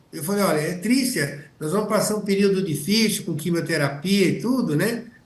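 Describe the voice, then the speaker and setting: A man talks at a moderate pace, his pitch high with ordinary variation. Noticeable background noise and audible room echo surround him. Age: 70s. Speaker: physician. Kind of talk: panel discussion. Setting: auditorium.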